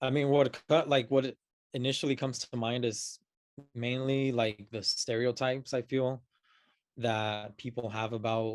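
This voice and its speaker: A man speaks with a Spanish accent at a fairly slow pace. His intonation stays monotone and flat. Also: medium pitch for a man, dry, close sound with no echo. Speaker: podcast guest. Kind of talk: casual chat. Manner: halting, many fillers.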